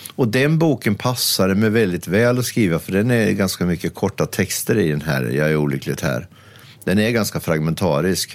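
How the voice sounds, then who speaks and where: A man with a very deep, low pitch and vocal fry speaks at a moderate pace, using very wide pitch swings. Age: 60s. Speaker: critic and columnist. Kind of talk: casual interview chat.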